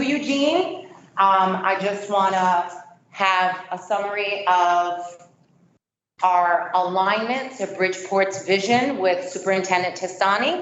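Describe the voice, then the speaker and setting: With audible room echo, a woman speaks very slowly at a medium pitch with ordinary pitch variation. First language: not English. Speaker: education company presenter. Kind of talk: sales presentation.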